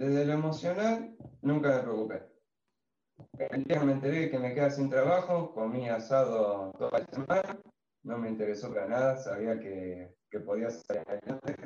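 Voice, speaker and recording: A plain, everyday voice at a moderate pace. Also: man, medium pitch for a man. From Argentina, Santa Fe province (Villa Constitución area). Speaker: shoe designer and retail investor. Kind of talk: casual chat, personal testimony.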